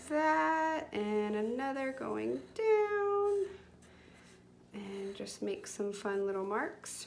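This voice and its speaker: Her medium-pitched voice swings very widely in pitch as the woman talks at a very slow pace, with audible room echo. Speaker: children's art teacher. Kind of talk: tutorial. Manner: animated.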